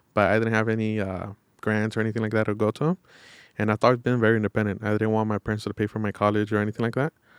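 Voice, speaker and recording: Someone with an American accent talks at a very fast pace in a monotone, flat intonation. The sound is dry and close with no echo, on a very clean recording with a silent background. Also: man, fairly low pitch for a man. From Los Angeles, East Hollywood. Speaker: real estate and mortgage salesman. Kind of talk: podcast interview.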